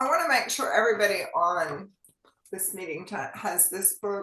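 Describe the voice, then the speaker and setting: A woman in a Southern US accent at a medium pitch, with ordinary pitch variation, a moderate pace and audible room echo. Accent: US South. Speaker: physician. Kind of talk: health talk show. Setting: online meeting.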